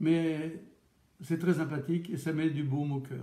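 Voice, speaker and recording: At a fairly slow pace, a man with a Charente accent speaks at a fairly high pitch, with audible room echo. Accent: Charente regional French. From France, Charente. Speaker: chef and radio host. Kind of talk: cooking radio show talk. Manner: casual, with hesitations.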